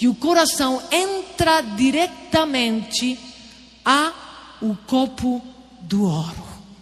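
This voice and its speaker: A woman speaks at a high pitch with lively intonation. Noticeable background noise runs underneath. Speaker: preacher. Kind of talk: sermon. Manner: slow.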